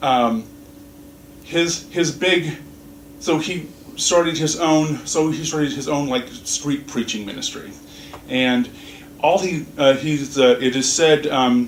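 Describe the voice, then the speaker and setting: Over noticeable background noise and audible room echo, a man with an American accent speaks at a fairly high pitch and a very slow pace, with ordinary pitch variation and long, frequent pauses. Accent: Southern US accent, comes out when animated. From US South. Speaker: minister. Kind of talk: sermon. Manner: halting, many fillers and restarts.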